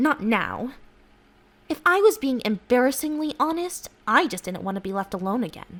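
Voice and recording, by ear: Doing a put-on character voice, a woman speaks at fairly high pitch and a moderate pace, with big pitch swings and a fairly bright tone.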